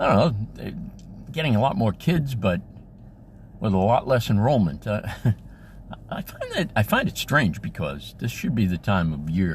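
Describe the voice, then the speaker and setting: Moving at a moderate pace, a man with a fairly low pitch shows vocal fry and very wide pitch swings. Long, frequent pauses break up his speech. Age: 70s. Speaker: school crossing guard. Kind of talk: casual talk to camera.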